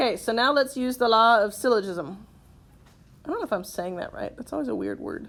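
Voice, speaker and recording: Vocal fry runs through this woman's fairly high voice. She talks at a fairly quick pace with lively intonation. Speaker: math teacher. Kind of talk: classroom lecture.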